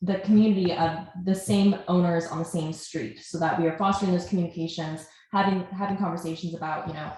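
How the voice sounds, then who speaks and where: A woman's fairly low pitch, fairly even intonation and fairly quick pace. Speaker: nonprofit operations manager. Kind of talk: webinar presentation. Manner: loud.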